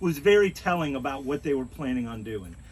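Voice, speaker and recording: A loud male voice with lively intonation and audible room echo. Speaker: resident speaking at neighborhood meeting. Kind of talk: town hall comment.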